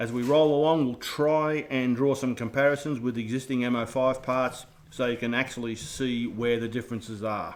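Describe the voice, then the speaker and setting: With an Australian accent, a man speaks at a medium pitch with fairly even intonation. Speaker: radio control hobbyist. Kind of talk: live stream build intro. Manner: casual, jokey.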